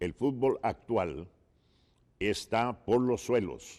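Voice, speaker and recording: A man's very slow delivery, with lively intonation, a dark, mellow tone and fairly low pitch. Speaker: football commentator. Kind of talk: interview. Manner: animated.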